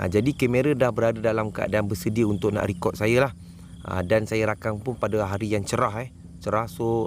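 Fairly low-pitched speech from a man at a moderate pace, in a very clean recording with a silent background. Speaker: wildlife camera trap youtuber. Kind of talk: product review. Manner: casual, conversational.

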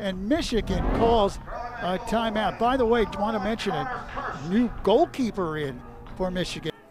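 Animated and high-pitched, a man speaks with lively intonation. Noticeable background noise runs underneath. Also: moderate pace. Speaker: play-by-play announcer. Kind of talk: live sports commentary. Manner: animated, excitable call with sudden bursts on goals.

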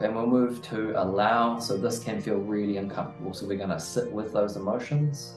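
A man with fairly low pitch, with clear music in the background. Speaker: men's mindset and growth coach. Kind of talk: guided meditation. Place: home room.

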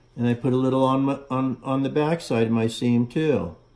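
Ordinary pitch variation from a man speaking at a fairly slow pace. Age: 60s. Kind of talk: tutorial. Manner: halting, many fillers. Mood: calm, relaxed instruction. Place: workshop. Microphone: phone near.

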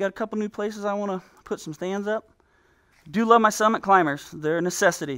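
With little noise behind him, a man speaks fairly quickly. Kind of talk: casual home tour commentary. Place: garage.

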